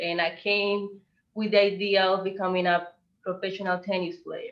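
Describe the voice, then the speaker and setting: A woman speaks with a Spanish accent at a medium pitch. Her pace is fairly slow. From Colombia. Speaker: visual artist. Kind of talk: presentation.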